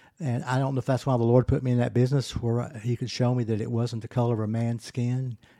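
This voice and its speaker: A man with an American accent races along at a very fast pace with hardly any pauses. His dark, mellow tone sits at a medium pitch with monotone, flat intonation. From Arkansas, Pine Bluff. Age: 70s. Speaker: retired business owner. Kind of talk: testimony.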